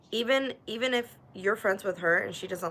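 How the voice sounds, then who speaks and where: Noticeable noise sits behind a woman whose pitch varies in an ordinary way. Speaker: live streamer. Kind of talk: casual chat. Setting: livestream. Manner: stutter.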